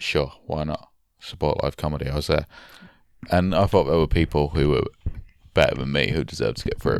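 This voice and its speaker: Vocal fry at a fairly quick pace, with long, frequent pauses and fairly even intonation. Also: man, very deep, low pitch for a man. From northern England. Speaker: podcast co-host and musician/comedian. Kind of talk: casual chat. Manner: joking, banter.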